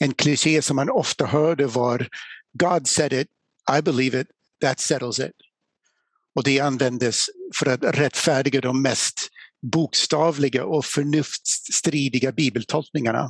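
Pausing long and often, a man with an English accent and a fairly high pitch speaks at a fairly slow pace with fairly even intonation and very even loudness, in a dry, close sound with no echo. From USA, small town. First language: English (speaking Swedish). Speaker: apologetics speaker. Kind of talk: lecture. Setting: live event with audience.

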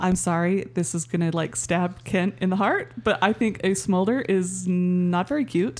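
A woman speaks at a moderate pace and medium pitch, with an unremarkable speaking voice. Her loudness stays very even, her intonation is lively, and she hardly pauses at all. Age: 40s. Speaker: podcast guest. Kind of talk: casual chat.

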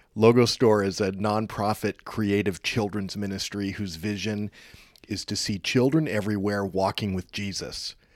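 A man with an American accent and a normal speaking voice talks at a moderate pace, his fairly low pitch held in fairly even intonation, on a very clean recording with a silent background. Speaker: podcast host. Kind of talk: interview.

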